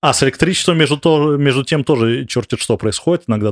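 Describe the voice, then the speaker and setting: A man speaks at a fairly quick pace. The recording is very clean with a silent background, dry and close with no echo. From Moscow, Russia. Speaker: emigrant, former researcher. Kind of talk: interview. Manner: halting.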